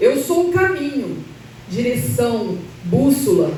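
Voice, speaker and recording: A woman's high voice with very wide pitch swings, amid noticeable background noise and audible room echo. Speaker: church speaker. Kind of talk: sermon. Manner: halting, self-correcting.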